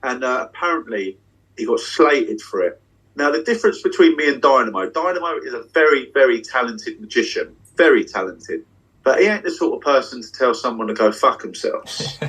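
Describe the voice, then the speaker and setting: A man talks at a fairly quick pace with a British accent. His loudness swings widely. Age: 30s. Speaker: magician. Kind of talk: casual chat. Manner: animated. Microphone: unstable Wi-Fi connection dropping in and out.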